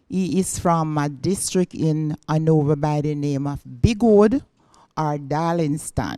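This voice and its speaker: Very slowly, a woman speaks at a very deep, low pitch in a dark, mellow tone with ordinary pitch variation, the sound dry and close with no echo on a very clean recording with a silent background. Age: 60s. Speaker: guest searching for relatives. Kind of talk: interview.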